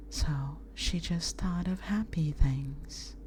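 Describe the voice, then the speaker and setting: The speaker is soft-spoken. There is noticeable background noise. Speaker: VTuber ASMR streamer. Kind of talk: bedtime story reading.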